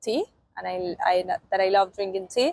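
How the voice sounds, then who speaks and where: A woman with a Spanish accent, in a dry, close sound with no echo. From Argentina. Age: 20s. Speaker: au pair. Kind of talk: interview testimonial. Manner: halting, many fillers.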